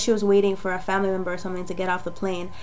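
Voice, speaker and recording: A woman with a medium-pitched voice speaks over noticeable background noise, and the room echo is audible. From Jamaica. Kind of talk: testimony. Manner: casual, hesitant with fillers.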